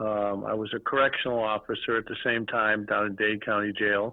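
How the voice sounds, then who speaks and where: A man speaks in a Boston accent. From Boston area, Massachusetts. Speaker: toy and redemption industry businessman. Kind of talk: podcast interview.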